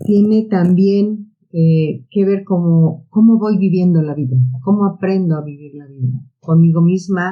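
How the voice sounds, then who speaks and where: With big swings in loudness, this somewhat breathy voice has a dark, mellow tone and moves at a fairly slow pace. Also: woman. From Mexico City (Tepito). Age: 60s. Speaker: psychotherapist and biologist. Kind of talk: podcast interview.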